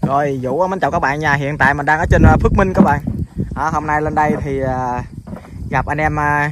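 Over loud background noise, a man speaks at a moderate pace, and the sound is dry with no echo. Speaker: farm vlogger. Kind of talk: casual vlog chat. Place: farm machine. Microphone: phone near.

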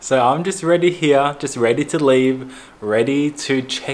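A man with ordinary pitch variation, speaking at a fairly slow pace. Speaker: travel vlogger. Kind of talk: casual vlog chat. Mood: playful, joking. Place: home room. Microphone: phone near.

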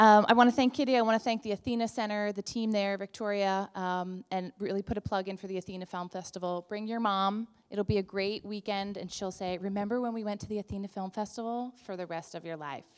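A woman talks at a very fast pace against a quiet background. Her intonation is fairly even. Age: 30s. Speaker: event introducer, nonprofit director. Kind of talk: event introduction speech. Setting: live event audience. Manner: loud, projecting. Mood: warm, enthusiastic. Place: hall. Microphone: handheld.

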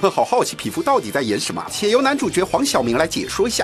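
Music plays in the background as a man speaks at a very fast pace. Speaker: news narrator. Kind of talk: entertainment news voiceover. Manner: playful, teasing, lively.

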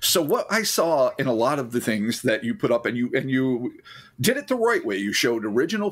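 Talking at a fairly quick pace, a man with a plain, everyday voice pitched fairly high uses lively intonation. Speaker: podcast co-host. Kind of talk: casual chat.

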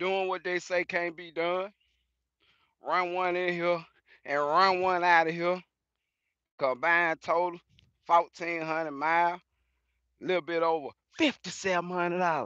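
In a dry sound with no echo, a man speaks at a moderate pace with a high pitch, a bright, sharp tone, monotone, flat intonation and long, frequent pauses. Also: quiet background. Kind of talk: casual vlog chat. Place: open country. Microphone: phone near.

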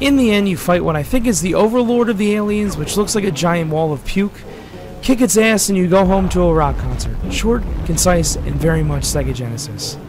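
A man's high-pitched voice at a fairly quick pace, with music in the background. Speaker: retro game reviewer. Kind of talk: video game review narration.

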